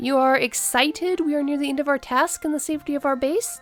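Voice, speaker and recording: A woman's put-on character voice, high-pitched and very fast. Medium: read story. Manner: formal, stilted.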